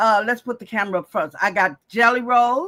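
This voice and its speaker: A woman's fairly high, bright, sharp voice in an animated tone, on a very clean recording with a silent background. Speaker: quilting channel host. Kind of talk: live craft tutorial. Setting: home live stream.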